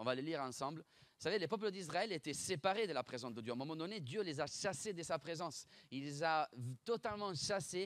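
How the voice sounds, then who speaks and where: Fairly high-pitched and fairly quick, a man speaks with lively intonation in a dry, close sound with no echo. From Italy (Bologna). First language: Italian (speaking French). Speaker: pastor. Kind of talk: sermon. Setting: church. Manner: fast; animated.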